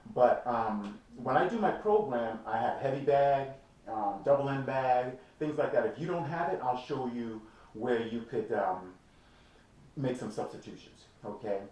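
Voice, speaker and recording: A man speaks at a medium pitch and a fairly slow pace, with lively intonation and an animated tone. Noticeable background noise and audible room echo accompany him. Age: 60s. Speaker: fitness trainer. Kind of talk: motivational talk to camera.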